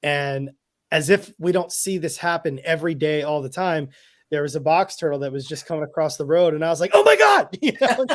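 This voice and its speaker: At a fairly quick pace, a man with a fairly high pitch speaks with ordinary pitch variation in a very clean recording with a silent background. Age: 40s. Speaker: field herpetologist. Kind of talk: podcast interview. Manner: halting.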